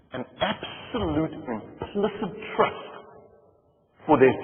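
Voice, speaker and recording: The voice makes very wide pitch swings while music plays in the background. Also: man. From South Africa. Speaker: motivational speaker. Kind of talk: keynote speech.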